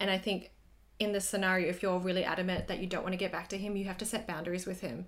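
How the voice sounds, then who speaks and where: A woman with an Australian accent at a very fast pace, in a monotone, flat intonation. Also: medium pitch for a woman. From Australia (Sydney). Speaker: podcast co-host. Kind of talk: casual chat.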